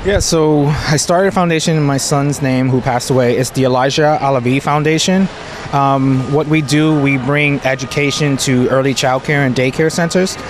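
A man with an American accent talks at a moderate pace and fairly high pitch, with fairly even intonation and very even loudness. Noticeable background noise runs underneath. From New York City. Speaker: parent and food allergy advocate. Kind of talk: interview. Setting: festival. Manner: halting.

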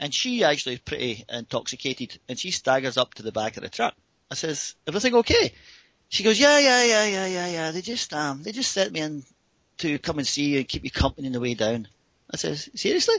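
The speaker has a Scottish accent and talks at a fairly quick pace. The pitch swings very widely. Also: man, fairly high pitch for a man. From Scotland. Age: 50s. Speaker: paraglider pilot. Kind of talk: storytelling.

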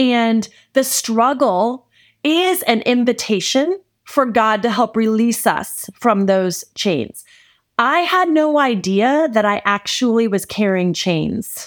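In a very clean recording with a silent background, a woman with a warm tone and a fairly high pitch speaks at a very slow pace, her intonation lively and her loudness very even. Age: 40s. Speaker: podcast host, faith-based mentor. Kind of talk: solo podcast monologue, devotional teaching. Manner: warm, conversational.

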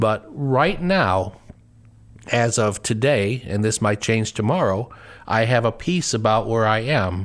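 In a plain, everyday voice, a man talks at medium pitch with ordinary pitch variation. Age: 50s. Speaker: associate pastor and panel host. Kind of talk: personal testimony on a panel show.

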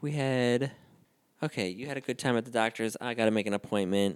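A man speaks in a plain, everyday voice at medium pitch with ordinary pitch variation, with a dry, close sound with no echo on a very clean recording with a silent background. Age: 30s. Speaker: podcast co-host. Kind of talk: casual chat.

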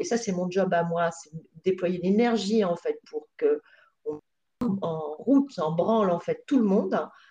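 The voice has a dark, mellow tone and is somewhat breathy, moving at a very slow pace with ordinary pitch variation. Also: woman. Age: 50s. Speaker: payroll consultant. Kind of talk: interview. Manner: halting.

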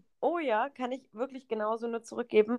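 Her pitch sits fairly high for a woman, with ordinary pitch variation at a moderate pace. The audio is dry and close, without any echo. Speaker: podcast co-host. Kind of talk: casual chat.

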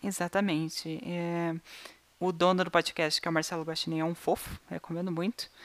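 A woman speaks in a monotone with flat intonation at a fairly low pitch. Her pace is moderate. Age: 20s. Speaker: podcast co-host. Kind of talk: casual chat.

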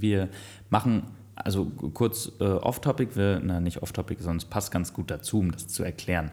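In a very clean recording with a silent background, a man speaks at a moderate pace with a very deep, low pitch, a dark, mellow tone, some breathiness and ordinary pitch variation. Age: 30s. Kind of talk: casual chat.

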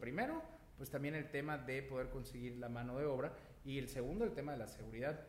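A man speaks very fast at a fairly high pitch with ordinary pitch variation. Noticeable background noise and audible room echo fill the recording. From Yucatán, Mexico. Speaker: real estate agent. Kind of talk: interview. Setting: recording studio. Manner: loud; animated.

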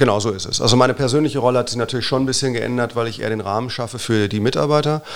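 Talking very fast with hardly any pauses, a man keeps a medium pitch and ordinary pitch variation. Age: 40s. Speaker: physician and hospital manager. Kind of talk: casual interview.

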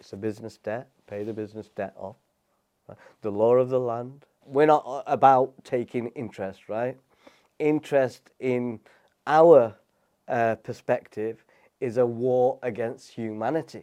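Speaking with a British accent, a man uses a dark, mellow tone at medium pitch with fairly even intonation. He talks at a fairly slow pace, with long, frequent pauses and big swings in loudness. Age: 40s. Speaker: property investor and business coach. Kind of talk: casual interview chat.

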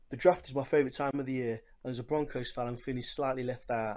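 With a strong English accent, a man talks fairly quickly at a medium pitch in a flat monotone, recorded very cleanly with a silent background. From England, Nottingham (East Midlands). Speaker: listener sending voice message. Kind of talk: recorded voice message. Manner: casual, sweary.

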